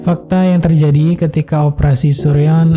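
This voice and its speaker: A man's fairly slow, monotone, flat delivery with music in the background. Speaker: voice-over narrator. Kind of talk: film recap narration.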